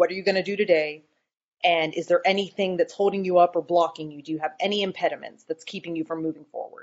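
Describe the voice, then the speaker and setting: A woman's monotone, flat intonation at a very fast pace. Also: fairly low pitch for a woman, big swings in loudness. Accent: American. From US South, North Carolina (Boone). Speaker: scrum master. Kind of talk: interview.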